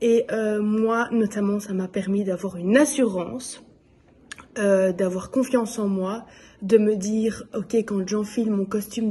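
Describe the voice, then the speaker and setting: A woman at medium pitch, very slow, with fairly even intonation. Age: 20s. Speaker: nurse and belly dance student. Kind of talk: testimony. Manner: hesitant, many filler sounds.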